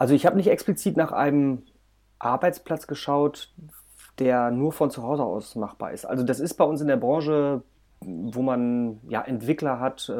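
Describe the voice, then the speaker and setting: On a very clean recording with a silent background, a man with an unremarkable speaking voice talks at a moderate pace in a fairly high pitch, with ordinary pitch variation. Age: 30s. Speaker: project manager. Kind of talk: casual chat.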